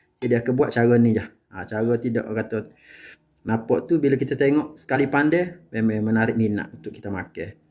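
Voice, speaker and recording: His pitch sits at a medium level, with ordinary variation. The man keeps a moderate pace. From Kelantan, Malaysia. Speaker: home cooking channel host. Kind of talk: cooking tutorial. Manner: casual, conversational.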